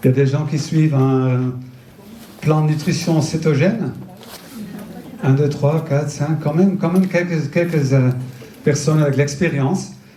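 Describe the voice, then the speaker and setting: A man's fairly slow speech with long, frequent pauses, very even loudness and fairly even intonation, amid audible room echo and noticeable background noise. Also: fairly high pitch for a man. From Netherlands. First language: Dutch (speaking French). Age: 50s. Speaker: nutrition entrepreneur and speaker. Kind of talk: public talk. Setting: festival stage with audience. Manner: halting, many hesitations.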